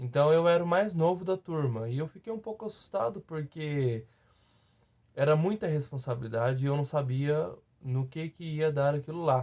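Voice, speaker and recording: Against a silent background in a very clean recording, a man with a fairly high pitch and a dark, mellow tone speaks at a moderate pace with ordinary pitch variation. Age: 30s. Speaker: teacher, former master's student. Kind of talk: testimony. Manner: halting, many fillers and repetitions.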